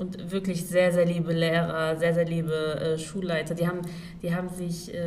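Noticeable background noise and audible room echo surround a woman's fairly low-pitched voice, delivered in a monotone, flat intonation. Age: 20s. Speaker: social worker. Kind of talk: casual chat.

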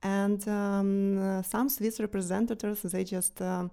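In a very clean recording with a silent background, a woman with a dark, mellow tone speaks at a fairly slow pace with fairly even intonation. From Ukraine, Kyiv. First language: Ukrainian or Russian. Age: 30s. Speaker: war refugee, banker. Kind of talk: interview, personal testimony. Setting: studio. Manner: halting, many hesitations.

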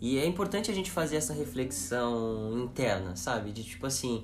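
The voice makes very wide pitch swings over noticeable background noise and audible room echo. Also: man. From São Paulo region, Cotia. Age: 20s. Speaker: corporate sustainability specialist. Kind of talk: casual chat.

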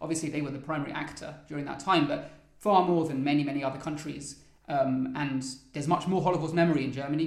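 With audible room echo and noticeable background noise, a man speaks in a fairly high pitch with monotone, flat intonation. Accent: southern English. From London, England. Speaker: trainee lawyer. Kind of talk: interview.

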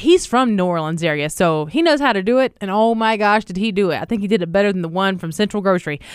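Very fast and with hardly any pauses, a woman speaks at a medium pitch with lively intonation and an animated tone. The recording is very clean, the background silent. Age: 40s. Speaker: radio podcast co-host. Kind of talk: casual chat. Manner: animated, frequent laughter.

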